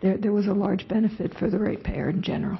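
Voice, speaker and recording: In a put-on character voice, a woman speaks very fast at medium pitch, hoarse and raspy, with monotone, flat intonation and very even loudness. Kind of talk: formal meeting.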